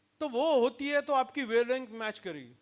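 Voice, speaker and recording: A man's voice with ordinary pitch variation. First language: Marathi (speaking Hindi). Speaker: leadership trainer. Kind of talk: lecture. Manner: mixes Hindi and English.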